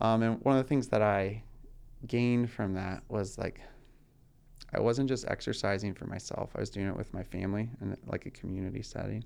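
This man has a normal speaking voice with an American accent and a fairly low pitch. He talks at a fairly quick pace with fairly even intonation. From US South, rural Georgia. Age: young. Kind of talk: casual interview chat.

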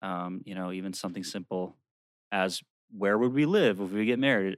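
With an ordinary speaking voice, a man talks at a moderate pace and a fairly low pitch, the sound dry and close with no echo. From Maryland. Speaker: former lay missionary, engaged. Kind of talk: casual interview chat.

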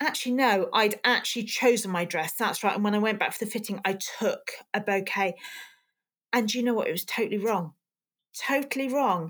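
In a very clean recording with a silent background, a woman talks in an ordinary speaking voice, fairly high in pitch. Her pitch varies in an ordinary way, and she moves at a fairly quick pace. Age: 50s. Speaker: dried flower business owner. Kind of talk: casual interview chat.

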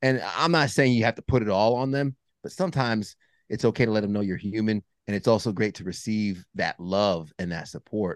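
A man with an American accent talks at a fairly quick pace in a fairly low pitch with ordinary pitch variation, a plain, everyday voice. The sound is dry and close with no echo, over a quiet background. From Long Island, New York. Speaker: meteorologist and men's group founder. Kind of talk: casual interview.

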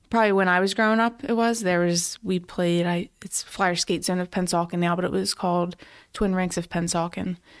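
In a very clean recording with a silent background, a woman with an American accent uses a normal speaking voice at a fairly quick pace with fairly even intonation. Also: medium pitch for a woman. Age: 30s. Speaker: police officer. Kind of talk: casual chat.

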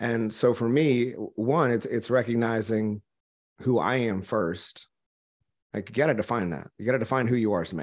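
In an American accent, a man uses a normal speaking voice at medium pitch and a moderate pace, with ordinary pitch variation and a quiet background. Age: 30s. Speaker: entrepreneur and business coach, former minister. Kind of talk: casual chat.

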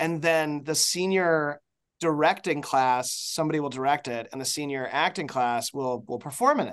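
Against a quiet background, a man with an ordinary speaking voice talks at a moderate pace, his fairly high pitch showing ordinary pitch variation. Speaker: TV showrunner and writer. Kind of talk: casual interview.

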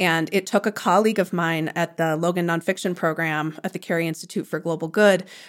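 In an American accent, a woman with an unremarkable speaking voice talks with hardly any pauses, fairly low in pitch and fairly even in intonation. The recording is very clean, with a silent background. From US Midwest, Chicago suburbs. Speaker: author. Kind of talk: interview.

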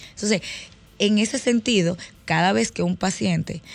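A woman's voice with music in the background. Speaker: dentist. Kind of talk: radio interview.

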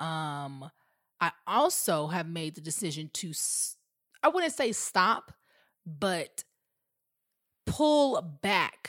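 Heard dry and close with no echo on a very clean recording with a silent background, a woman speaks in an animated tone at a fairly low pitch. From Atlanta, Georgia. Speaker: podcast host. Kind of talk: casual chat. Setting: studio.

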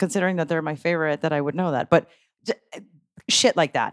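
A woman has an ordinary speaking voice, a fairly low pitch and ordinary pitch variation. The recording is very clean with a silent background, and the sound is dry and close with no echo. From grew up partly abroad, moved to the US as a child. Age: 40s. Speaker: local music promoter and musician. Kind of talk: casual chat.

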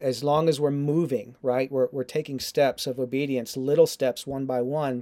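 An unremarkable speaking voice from a man, medium in pitch, with fairly even intonation at a moderate pace. The recording is very clean and dry, close with no echo, over a silent background. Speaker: ministry founder. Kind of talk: interview conversation. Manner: conversational, earnest.

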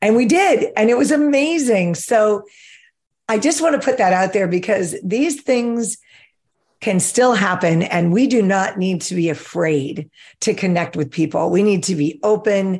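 With very wide pitch swings around a medium pitch, a woman speaks at a fairly slow pace against a quiet background. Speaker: podcast host. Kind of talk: casual interview chat. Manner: animated.

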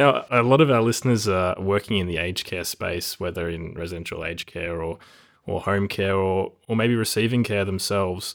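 A man with a fairly low pitch speaks at a fairly quick pace with ordinary pitch variation. He has a normal speaking voice, captured in a very clean recording with a silent background. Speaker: podcast host. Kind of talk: interview, podcast intro.

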